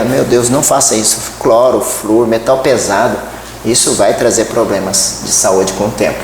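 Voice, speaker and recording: A man talks at a moderate pace. Room echo is audible, along with noticeable background noise. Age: 60s. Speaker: therapist. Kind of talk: interview.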